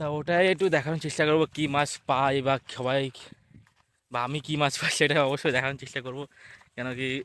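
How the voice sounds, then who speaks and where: Intonation stays fairly even for this man. His pitch sits fairly high. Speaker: vlogger. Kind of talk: casual vlog narration. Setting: outdoors, walking through fields to a river.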